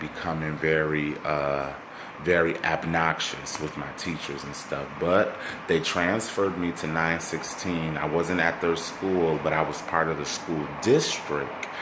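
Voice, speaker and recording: A quiet man with a very deep, low pitch and an American accent talks at a fairly slow pace in a monotone, flat intonation, with audible room echo and noticeable background noise. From Minnesota, Saint Paul. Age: 20s. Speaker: vlogger. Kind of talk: casual self-introduction vlog. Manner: halting, many fillers and repeats; kept quiet, family sleeping.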